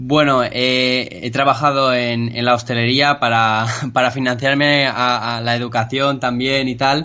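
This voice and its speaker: A man speaks at a medium pitch with a flat, monotone intonation. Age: 20s. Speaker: programming student. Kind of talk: casual interview chat. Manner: halting, many repetitions.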